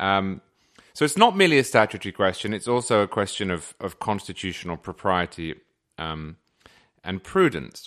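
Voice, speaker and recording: A man with a British accent speaks in a fairly low pitch. His intonation is lively over a quiet background. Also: moderate pace. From England. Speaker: magazine editor and commentator. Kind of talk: casual conversational interview.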